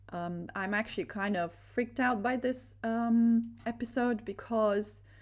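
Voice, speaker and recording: In a very clean recording with a silent background, a woman with a Romanian accent talks at a fairly slow pace with fairly even intonation. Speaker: religious video creator. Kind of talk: religious monologue. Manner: halting, many fillers.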